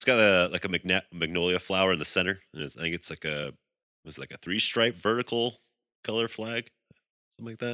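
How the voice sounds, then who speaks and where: A man speaks at a fairly quick pace with a very deep, low pitch and a bright, sharp tone. His loudness swings widely while his pitch varies in an ordinary way. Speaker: podcast co-host. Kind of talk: casual chat. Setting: remote recording over the internet. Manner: laughs often.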